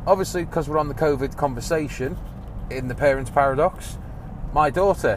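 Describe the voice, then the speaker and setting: Noticeable background noise and audible room echo surround a man speaking in an English accent. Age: 30s. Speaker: podcast host. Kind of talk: casual monologue. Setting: in a car. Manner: animated.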